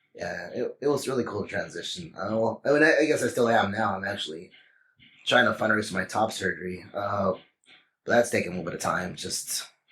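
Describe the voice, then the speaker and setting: With a Texan accent, a man talks at a fairly quick pace. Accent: Texan American English. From Texas. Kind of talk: interview. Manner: hesitant, many fillers.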